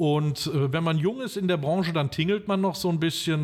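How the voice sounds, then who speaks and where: A man is speaking. His voice is somewhat breathy. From western Germany, Limburg an der Lahn region (Hesse). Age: 50s. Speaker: restaurant owner. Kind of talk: interview. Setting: outdoors in a park.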